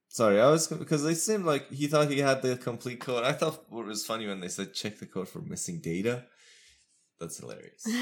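On a very clean recording with a silent background, a man at medium pitch talks at a moderate pace, with very wide pitch swings, big swings in loudness, and long, frequent pauses. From Iran. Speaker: podcast host, philosophy doctoral student. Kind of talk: casual chat.

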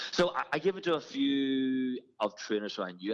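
Speaking with an Irish accent, a man uses a medium pitch. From Ireland. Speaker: fitness trainer and business owner. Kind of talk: interview. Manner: animated.

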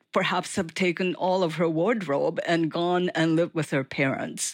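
A woman speaks with a Japanese accent. Her voice is fairly low and her pace is moderate. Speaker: author and writing professor. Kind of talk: interview.

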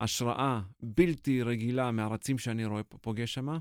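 The recording of a man at medium pitch sounds dry and close, with no echo. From Israel. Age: 40s. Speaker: marathon runner and mental coach. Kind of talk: interview. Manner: halting, many filler sounds.

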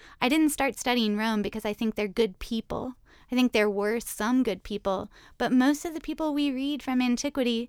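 A woman speaks in a plain, everyday voice with an American accent. Her pitch is fairly high with ordinary pitch variation, on a very clean recording with a silent background. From US South, Richmond, Virginia. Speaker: classics professor. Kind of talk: interview conversation.

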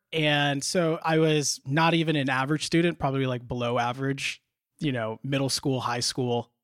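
A man's fairly high-pitched, normal speaking voice with an American accent, fairly even intonation and a moderate pace, in dry, close sound with no echo. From US Midwest (Indiana, Illinois). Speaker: law school admit. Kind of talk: interview.

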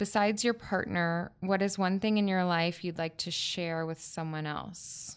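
A woman with an unremarkable speaking voice talks at a moderate pace, her fairly low pitch held in fairly even intonation over a very clean recording with a silent background. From Florida Panhandle, US South. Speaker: podcast guest, aspiring writer. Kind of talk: casual chat.

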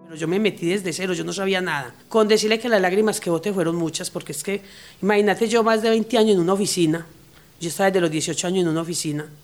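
A woman talks at a very fast pace in a medium pitch. Her pitch varies in an ordinary way. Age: 50s. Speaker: garment workshop manager. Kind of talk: interview testimony.

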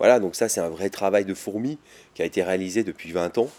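Speaking at a fairly quick pace with ordinary pitch variation, the voice has a dark, mellow tone and a dry, close sound with no echo. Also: man. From Grenoble, French Alps. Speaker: chef. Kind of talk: interview. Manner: halting with repetitions.

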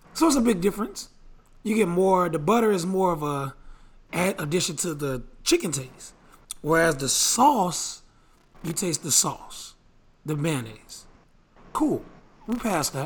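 A strained, high-pitched man at a fairly slow pace, with lively intonation and long, frequent pauses. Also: very clean recording, silent background. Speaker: podcast host. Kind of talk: casual banter podcast.

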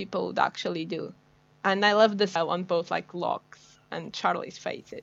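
Vocal fry from a woman with a Portuguese accent, medium pitch, fairly even intonation and a moderate pace. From Portugal. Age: 20s. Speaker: guest. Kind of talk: casual chat.

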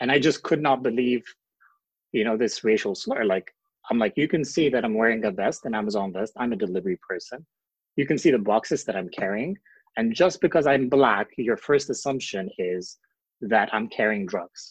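With a quiet background, a man at medium pitch speaks at a moderate pace with lively intonation and long, frequent pauses. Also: dry, close sound with no echo. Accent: Ethiopian. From Ethiopia. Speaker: asylum seeker. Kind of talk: interview.

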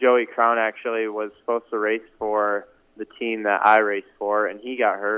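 Speaking at a fairly slow pace, a man keeps a fairly low pitch and a monotone, flat intonation. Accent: American. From Michigan. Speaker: professional motocross racer. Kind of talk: casual interview.

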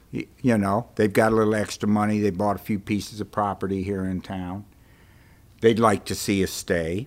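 Speaking at a moderate pace, a man uses a fairly low pitch and monotone, flat intonation in a very clean recording with a silent background. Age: 60s. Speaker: bookstore owner. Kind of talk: interview. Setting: bookstore stage.

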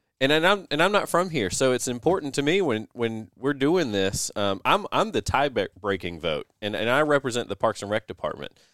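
With a Southern US accent and vocal fry, a man speaks at a medium pitch and moderate pace with very wide pitch swings and hardly any pauses, in a very clean, dry, close recording with a silent background and no echo. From US South. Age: 30s. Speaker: parks and recreation director. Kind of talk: casual chat. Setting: studio.

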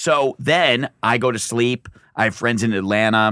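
A man with an American accent talks in a normal speaking voice at a medium pitch, with ordinary pitch variation. The recording is very clean, with a silent background. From Michigan, US. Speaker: comedian. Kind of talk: casual chat. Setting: studio.

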